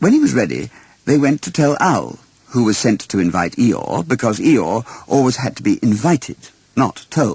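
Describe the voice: A man at medium pitch swings widely in pitch at a moderate pace, his slightly mellow tone carrying a slightly husky edge and vocal fry.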